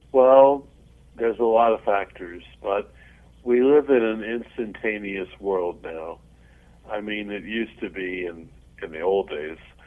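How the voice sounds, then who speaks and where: A man with a fairly low pitch and ordinary pitch variation speaks at a fairly slow pace with long, frequent pauses and big swings in loudness. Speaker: music journalist and columnist. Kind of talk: interview chat.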